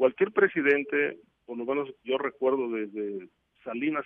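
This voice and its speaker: Using a medium pitch, a man talks at a very slow pace. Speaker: security and drug trafficking expert. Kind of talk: interview. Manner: halting.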